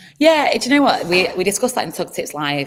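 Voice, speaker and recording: A woman in a Manchester accent talks at a fairly quick pace with lively intonation. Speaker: community program manager. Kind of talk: onboarding call presentation.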